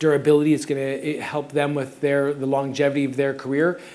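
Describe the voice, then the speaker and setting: The speaker talks at a fairly quick pace with a Canadian accent. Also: man. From Canada. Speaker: circus coaching advisor, former gymnast. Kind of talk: conference presentation. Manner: fast.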